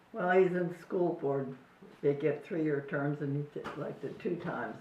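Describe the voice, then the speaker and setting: An American accent at a moderate pace with ordinary pitch variation, plus audible room echo and noticeable background noise. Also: woman, very deep, low pitch for a woman. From US Midwest, southern Indiana. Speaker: family elder interviewee. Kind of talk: casual chat.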